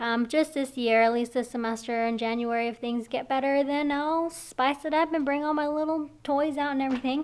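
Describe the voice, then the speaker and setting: On a very clean recording with a silent background, a woman speaks at a moderate pace with a high pitch and ordinary pitch variation. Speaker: cosmetology instructor vlogger. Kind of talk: casual vlog talk. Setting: classroom.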